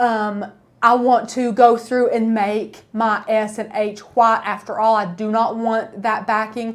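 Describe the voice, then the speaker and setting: This woman has an East Tennessee accent and a fairly high pitch. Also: fairly slow pace. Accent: East Tennessee Southern. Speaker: crafting YouTuber. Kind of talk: live-stream tutorial. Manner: animated; casual.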